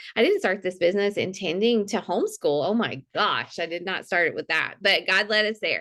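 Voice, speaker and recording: With a Mississippi accent, a woman speaks at a fairly quick pace and medium pitch, her tone bright and sharp, with hardly any pauses. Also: ordinary pitch variation. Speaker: fitness coach. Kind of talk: testimony. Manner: halting.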